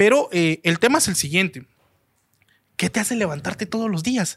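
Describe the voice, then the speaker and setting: Recorded with a dry, close sound and no echo, a man speaks at a moderate pace in a high pitch with lively intonation and long, frequent pauses. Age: 20s. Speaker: restaurant entrepreneur. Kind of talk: interview storytelling.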